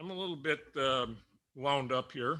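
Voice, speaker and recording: A man's bright, sharp voice with ordinary pitch variation. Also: very clean recording, silent background. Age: 60s. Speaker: school board member. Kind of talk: public meeting remarks. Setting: public meeting with audience. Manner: stammering.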